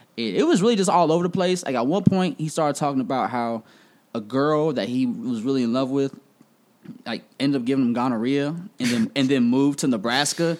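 In a normal speaking voice, a man with an American accent talks at a fairly quick pace, fairly high in pitch, with lively intonation. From Kansas City, Missouri. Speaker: radio personality. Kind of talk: casual chat.

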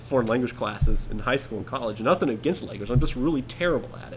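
With music in the background, a voice in an American accent shows ordinary pitch variation. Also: man. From US South, Atlanta area. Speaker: podcast guest, co-worker of host. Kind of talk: casual chat.

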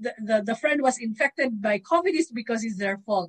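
A woman speaks in a fairly high, somewhat breathy voice with very wide pitch swings. The sound is dry and close, with no echo. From Philippines. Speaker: doctor with medical background, guest speaker. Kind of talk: lecture.

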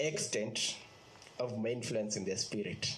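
Noticeable background noise is present as a man speaks at a moderate pace. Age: 30s. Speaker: lay preacher. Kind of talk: sermon. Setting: video call. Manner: halting.

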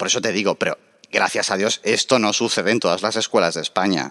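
Over a quiet background, a man is speaking. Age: 30s. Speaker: political activist. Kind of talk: interview. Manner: animated.

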